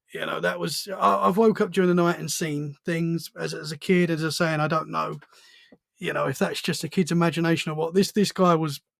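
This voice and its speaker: Speaking with a British accent, a man talks at a fairly quick pace in a fairly high pitch, with ordinary pitch variation. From Essex, England. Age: 30s. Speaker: podcast host. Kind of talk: casual chat.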